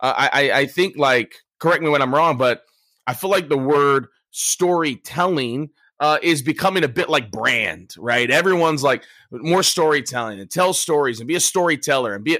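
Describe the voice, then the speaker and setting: This is an unremarkable speaking voice: a man with an American accent at a fairly high pitch. He talks at a moderate pace with ordinary pitch variation. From US. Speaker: sales and storytelling trainer. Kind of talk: casual interview.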